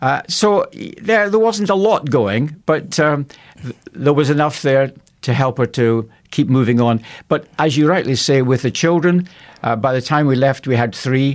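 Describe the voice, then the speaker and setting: On a very clean recording with a silent background, a man with a Scottish accent talks at a moderate pace, fairly high in pitch, with lively intonation. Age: 70s. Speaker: pastor. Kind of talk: radio interview.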